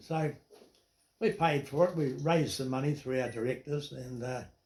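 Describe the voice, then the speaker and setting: Intonation is lively as this man talks at a moderate pace. There is a somewhat breathy quality to his voice. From New Zealand, Dunedin area. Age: 80s+. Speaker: retired businessman. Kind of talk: interview storytelling.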